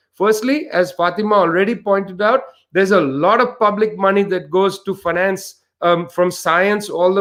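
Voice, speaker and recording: A man speaks with an Indian accent. His pitch is high. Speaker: author and researcher. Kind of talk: panel discussion. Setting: online livestream.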